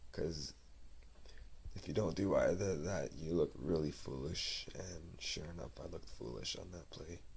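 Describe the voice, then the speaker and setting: A soft-spoken man with a very deep, low voice and vocal fry talks at a moderate pace with lively intonation and big swings in loudness, in a room with audible echo. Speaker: amateur goalie vlogger. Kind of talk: casual vlog monologue. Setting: home, family member sleeping. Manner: halting, many fillers.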